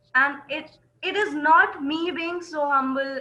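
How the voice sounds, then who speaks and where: A woman speaks in a raised, projected voice. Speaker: accent training student. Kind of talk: online class discussion.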